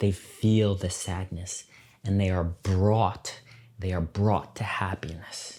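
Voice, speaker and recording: A man with an American accent at a very deep, low pitch, a dark, mellow and somewhat breathy tone, monotone, flat intonation and a very slow pace, on a very clean recording with a silent background. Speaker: English teacher podcaster. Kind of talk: slow educational podcast talk. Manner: slow, clear.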